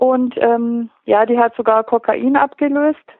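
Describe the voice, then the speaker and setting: A woman's high voice in a monotone, flat intonation. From Upper Bavaria, Pöcking on Lake Starnberg. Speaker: crime novelist. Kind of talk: interview.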